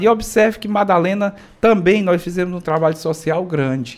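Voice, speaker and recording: Here a man talks at a fairly quick pace. His pitch shows ordinary variation. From Ceará, Brazil (sertão dos Inhamuns, Parambu; Fortaleza from age 11). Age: 40s. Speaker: state legislator. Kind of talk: radio interview. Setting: radio studio.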